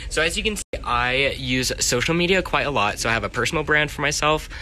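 Over light background noise, a man talks at a fairly quick pace with an American accent. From Texas, Richardson (Dallas area). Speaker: college student. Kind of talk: casual social media takeover vlog. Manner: animated.

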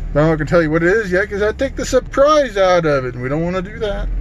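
With clear background noise and audible room echo, a man speaks at a fairly high pitch.

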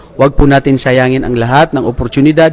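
A man is speaking here in a normal speaking voice. His pitch is medium. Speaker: vlogger interviewing Islamic students. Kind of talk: religious exhortation; casual on-location interview vlog. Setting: on location at an Islamic study center.

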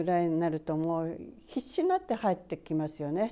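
The woman's voice has a dark, mellow tone. Her pitch sits fairly low. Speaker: Buddhist priest. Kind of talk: Buddhist dharma talk. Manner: frequent fillers and pauses; polite formal speech.

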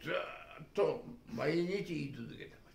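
The pace is fairly slow as a man talks. Room echo can be heard. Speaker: retired business executive and commentator. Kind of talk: political and economic commentary talk. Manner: rambling run-on speech. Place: home room. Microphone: camera far.

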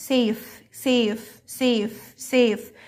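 A woman speaks at a high pitch. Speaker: English teacher for primary pupils. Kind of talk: lesson tutorial. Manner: repetitive drilling of words.

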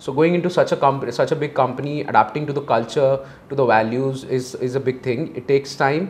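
Very fast speech from a man with a fairly high pitch and fairly even intonation. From India, Delhi. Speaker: MBA student; interviewee. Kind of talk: interview. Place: studio. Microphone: lapel.

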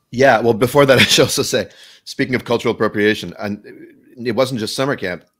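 A plain, everyday voice moves at a fairly quick pace with ordinary pitch variation, on a very clean recording with a silent background. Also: man. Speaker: musical theater lyricist. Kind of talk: casual conversation.

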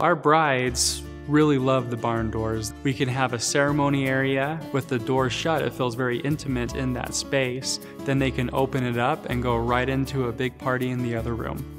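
Clear music plays in the background as the voice moves at a moderate pace with hardly any pauses. Its pitch varies in an ordinary way. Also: man. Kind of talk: interview answer. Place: hall. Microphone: lapel.

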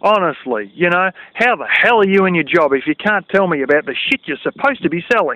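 Speaking at a very fast pace, a man is heard in a dry sound with no echo. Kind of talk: casual vlog rant. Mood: irritated, complaining. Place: open country. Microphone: phone near.

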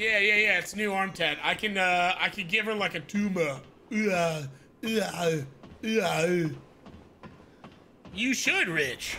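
A man's high, raised and projecting voice, very slow with long, frequent pauses, ordinary pitch variation, and light background noise. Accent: American. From Tucson, Arizona; Arizona. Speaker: gaming streamer. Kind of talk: live gameplay commentary with chat. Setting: live stream. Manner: animated. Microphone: studio mic.

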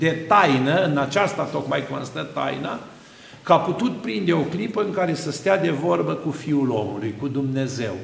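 In a room with audible echo, a man speaks at a moderate pace in a fairly high voice. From Romania. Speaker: Orthodox priest. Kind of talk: sermon. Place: church.

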